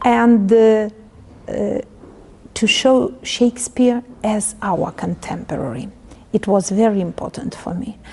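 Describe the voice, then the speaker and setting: Speaking at a fairly slow pace with a Ukrainian accent, a woman leaves long, frequent pauses over noticeable background noise. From Ukraine. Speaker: literature professor. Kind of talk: interview. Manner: halting.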